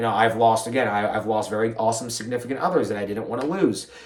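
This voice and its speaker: A man's voice comes with audible room echo, and background noise is noticeable. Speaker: podcast host and fitness professional. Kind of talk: solo podcast monologue. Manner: fast; mumbling at times.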